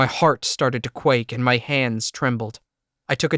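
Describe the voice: Someone does a plain reading aloud over a quiet background.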